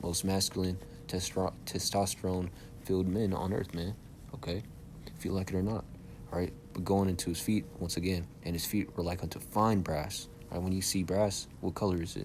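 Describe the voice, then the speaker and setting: A man speaks with a very deep, low pitch. His pace is fairly quick and his intonation fairly even. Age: young. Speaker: religious teacher. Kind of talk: bible lesson. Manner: halting.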